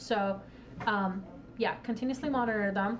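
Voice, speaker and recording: A very fast woman's voice, fairly high in pitch, with fairly even intonation and audible room echo. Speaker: presenter at a tech meetup. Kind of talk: lecture. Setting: live stream to Discord audience.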